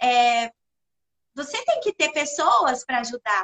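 Raised and projected, a woman's bright, sharp voice carries lively intonation in a dry, close sound with no echo. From Brazil, interior of Minas Gerais (Perdizes). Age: 40s. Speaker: communications professional and social project organizer. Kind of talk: casual chat.

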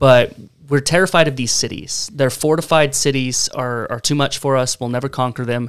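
A man is speaking. His pitch is medium and his pace moderate. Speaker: church member, co-host. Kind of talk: casual discussion podcast on Bible reading. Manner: animated, enthusiastic.

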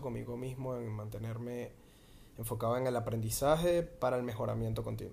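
A man speaks with audible room echo. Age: 20s. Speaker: podcast host. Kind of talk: improvised solo monologue. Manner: halting.

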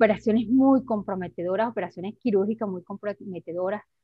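A woman's unremarkable speaking voice, medium in pitch, with fairly even intonation. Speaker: human rights activist and lawyer. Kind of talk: testimony.

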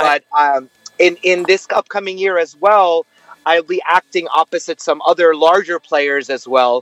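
A man with a New York accent and a high pitch speaks at a moderate pace with ordinary pitch variation, in a dry, close recording with no echo. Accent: New York American English. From US Northeast, Brooklyn, New York. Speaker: actor and singer. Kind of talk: interview.

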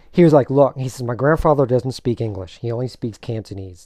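This man has a dark, mellow tone at a medium pitch, with ordinary pitch variation. He talks at a very fast pace over a quiet background. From Maryland, Silver Spring. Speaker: martial artist and actor. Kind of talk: casual interview. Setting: studio.

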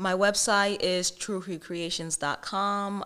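In a very clean recording with a silent background, a woman speaks at a fairly slow pace in a normal speaking voice. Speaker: small business owner. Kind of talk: casual interview.

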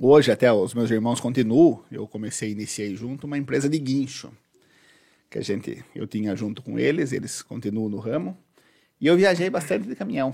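In a very clean recording with a silent background, a man with an unremarkable speaking voice talks at a medium pitch and a fairly quick pace, his intonation lively. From Boituva, São Paulo state, Brazil. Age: 30s. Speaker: political candidate. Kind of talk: casual interview.

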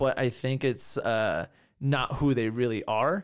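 On a very clean recording with a silent background, a man speaks in a normal speaking voice at medium pitch with ordinary pitch variation. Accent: American. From California. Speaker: martial arts and fitness coach. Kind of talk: casual interview chat.

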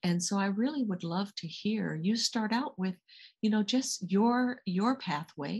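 Against a quiet background, a woman talks fairly slowly at a medium pitch, somewhat breathy, with ordinary pitch variation. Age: 60s. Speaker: executive coach and guest interviewer. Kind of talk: interview.

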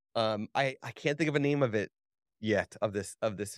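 Recorded with a dry, close sound and no echo, a man with an American accent talks at a medium pitch with lively intonation. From New Jersey. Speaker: photographer and podcast host. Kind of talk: casual chat. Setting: video call. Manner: halting.

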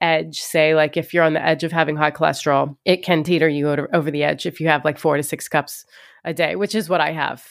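On a very clean recording with a silent background, a woman with an unremarkable speaking voice talks at a fairly low pitch and a fairly quick pace. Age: 30s. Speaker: stand-up comedian and podcast host. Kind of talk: casual chat.

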